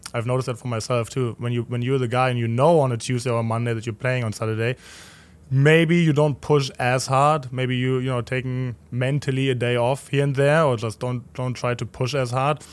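A man with a German accent speaks at a medium pitch with fairly even intonation. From Germany, Berlin. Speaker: professional soccer goalkeeper. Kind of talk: casual interview chat. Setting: studio overlooking the stadium.

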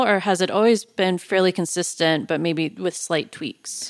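A woman speaks with an American accent at a moderate pace, with a medium pitch and ordinary pitch variation, in a plain, everyday voice. The recording is very clean with a silent background. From Iowa. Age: young. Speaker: podcast host. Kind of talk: interview conversation.

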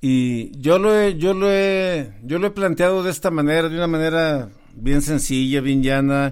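At a fairly slow pace, a man talks with ordinary pitch variation. His voice is a plain, everyday voice. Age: 50s. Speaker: podcast host. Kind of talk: casual chat.

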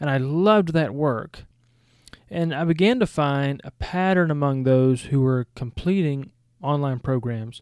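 A man with a Southern US accent talks at a fairly slow pace and a fairly high pitch, with ordinary pitch variation. The recording is very clean, with a silent background. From Georgia, US South. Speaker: seminary podcast host and former missionary and college teacher. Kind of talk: podcast introduction, scripted-style monologue.

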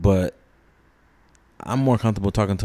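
A man speaks in a dark, mellow tone. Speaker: father. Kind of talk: casual interview chat.

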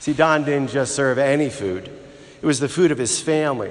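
A man speaks in a normal speaking voice. His pace is moderate, with ordinary pitch variation. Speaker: priest. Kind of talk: funeral homily, a personal eulogy woven with gospel reflection. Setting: church. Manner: warm, reminiscent storytelling with fond laughter; heartfelt, tender and reverent, building to a prayerful close.

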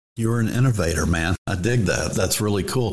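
Audible room echo surrounds this man's speech. He talks in a fairly low voice with an American accent. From Texas. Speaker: podcast host. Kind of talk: casual interview.

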